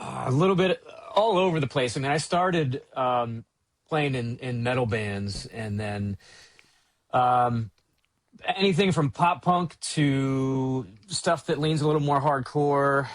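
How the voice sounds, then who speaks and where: Man with an American accent, a plain, everyday voice, fairly high pitch, lively intonation and a fairly slow pace. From Baltimore, Maryland. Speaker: sound engineer. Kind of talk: podcast interview.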